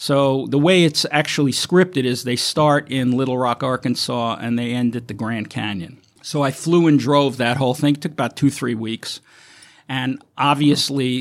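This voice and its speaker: A man's plain, everyday voice with an American accent, medium pitch, moderate pace and ordinary pitch variation, on a very clean recording with a silent background. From Brooklyn, New York. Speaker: film location manager. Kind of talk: interview.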